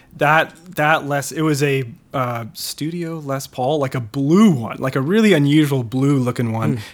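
A man with an American accent talks at a fairly slow pace and fairly high pitch on a very clean recording with a silent background. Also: ordinary pitch variation, hardly any pauses. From US Midwest, northern suburbs of Chicago. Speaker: record producer and mix engineer. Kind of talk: casual interview.

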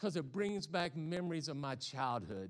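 A man with a Southern US accent talks in a fairly high voice. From US South. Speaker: pastor. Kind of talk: sermon. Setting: church.

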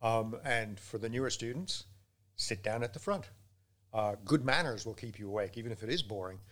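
A man talks at a fairly quick pace, his pitch medium and his intonation fairly even. He has an unremarkable speaking voice. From England, raised in Canada and elsewhere. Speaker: law lecturer and student support. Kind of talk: casual interview chat. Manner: jokey, humorous.

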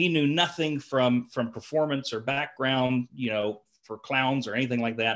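A man's medium-pitched voice in a Southern US accent, at a moderate pace with ordinary pitch variation. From rural Georgia. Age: 20s. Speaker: clown and fair entertainer. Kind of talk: casual interview chat.

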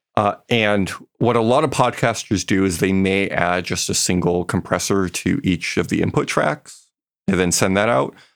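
A normal speaking voice at a moderate pace, with ordinary pitch variation, very even loudness, and a very clean recording over a silent background. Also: man, fairly low pitch for a man. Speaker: sound designer and podcast host. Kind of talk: technical explanation in casual interview. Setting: studio podcast recording.

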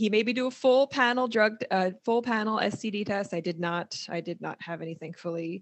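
A woman's normal speaking voice at a medium pitch, with ordinary pitch variation and a moderate pace. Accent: American. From US Northeast (New Jersey). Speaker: counselor and podcast host. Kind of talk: casual chat.

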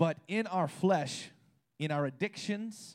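A man speaks at a fairly slow pace in a plain, everyday voice with ordinary pitch variation. The recording is very clean, with a silent background. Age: 30s. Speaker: preacher. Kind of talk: sermon. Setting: church with congregation.

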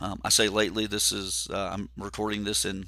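This very clean recording has a silent background. A man speaks at a fairly low pitch in a bright, sharp tone with vocal fry. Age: 50s. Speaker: podcast host and endurance coach. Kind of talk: solo podcast monologue. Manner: halting with fillers.

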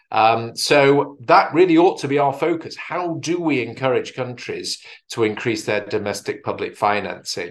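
A man with a British accent speaks at a fairly high pitch and a moderate pace. His intonation is lively, with hardly any pauses. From UK. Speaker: health policy expert. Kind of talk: conference presentation. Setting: video call.

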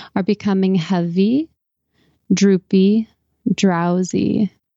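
A woman speaks very slowly at medium pitch, her tone dark and mellow and her intonation fairly even. The sound is dry and close with no echo, over a quiet background. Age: 40s. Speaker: hypnotherapist. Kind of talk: guided hypnosis; interview.

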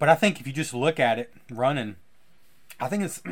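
In a put-on, raspy character voice, a man speaks at medium pitch and a fairly quick pace. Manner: casual, interrupted by coughing.

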